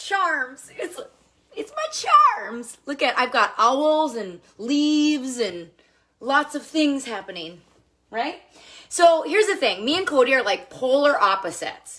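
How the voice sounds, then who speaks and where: A woman with an American accent speaks fairly slowly in a raised, projected voice, high-pitched and animated, with very wide pitch swings. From Minnesota, US Midwest. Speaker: makeup seller livestreamer. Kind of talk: live stream chat with husband. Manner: loud.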